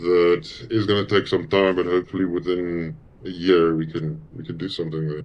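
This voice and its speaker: A man with a South African accent speaks at a very deep, low pitch. His pace is moderate and his intonation fairly even. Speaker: musician. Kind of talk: interview.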